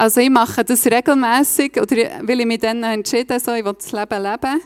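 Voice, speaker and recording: A woman with a Swiss German accent talks at a fairly quick pace with ordinary pitch variation in a dry, close sound with no echo. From Switzerland, Bernese Oberland (Reichenbach). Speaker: lay preacher. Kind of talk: sermon.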